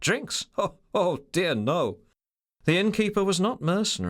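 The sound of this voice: An unforced reading voice carries the words, with ordinary pitch variation. Nothing much stirs in the quiet background.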